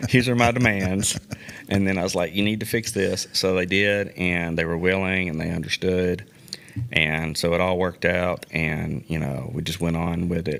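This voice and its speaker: This man talks at a moderate pace in a very deep, low voice with fairly even intonation. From Tennessee, Nashville area. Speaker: youth baseball league organizer and coach. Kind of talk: casual interview chat.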